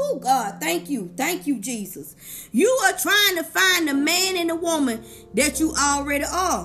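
Over music in the background, a woman with a high voice speaks at a fairly slow pace in a warm, animated tone, her pitch swinging very wide. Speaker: life coach and motivational speaker; podcaster. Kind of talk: sermon-style motivational preaching. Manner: animated, call-and-response preacher cadence; warm, encouraging, fervent.

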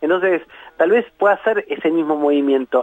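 The man has an ordinary speaking voice. He speaks at a moderate pace with lively intonation. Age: 40s. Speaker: philosopher and university lecturer. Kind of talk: radio interview.

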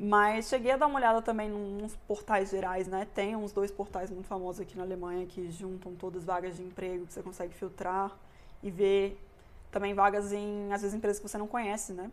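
A woman talks at a fairly quick pace, her pitch medium and her intonation flat and monotone. Her loudness swings widely. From Brazil, Brasília. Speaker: mechanical engineering student. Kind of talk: casual interview. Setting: host's home.

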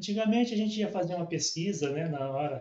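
A man's dark, mellow tone, somewhat breathy, with lively intonation. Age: 60s. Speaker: business owner. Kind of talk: interview.

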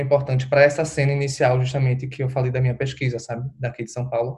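The man's medium-pitched voice is somewhat breathy. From Recife, Brazil. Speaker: drag artist and postgraduate researcher. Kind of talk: casual interview.

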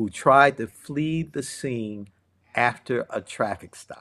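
A man with an American accent, an ordinary speaking voice, medium pitch, ordinary pitch variation and a fairly slow pace. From Cleveland, Ohio. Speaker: podcast host. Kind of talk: reading news accounts aloud in podcast discussion.

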